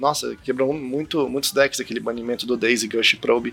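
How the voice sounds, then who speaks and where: A man's voice with ordinary pitch variation. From Brazil, Brasília. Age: 20s. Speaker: YouTuber and card game player. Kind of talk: casual chat.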